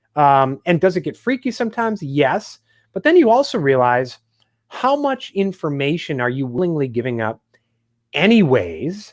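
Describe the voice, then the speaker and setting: Set against a silent background in a very clean recording, a man with a Chicago accent speaks at a moderate pace with very wide pitch swings. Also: fairly high pitch for a man. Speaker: podcast host. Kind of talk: live podcast interview. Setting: live video stream. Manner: halting, many restarts.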